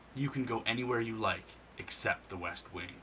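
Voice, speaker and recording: Over clear background noise, a man uses a gruff, booming, growling put-on character voice at a medium pitch and moderate pace. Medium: read story. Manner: growling, gruff.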